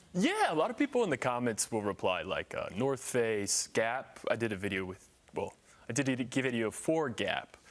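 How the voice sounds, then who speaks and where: At a moderate pace, the man talks with an American accent. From US Midwest, Indiana. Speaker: model and content creator. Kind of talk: TV interview. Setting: live TV studio.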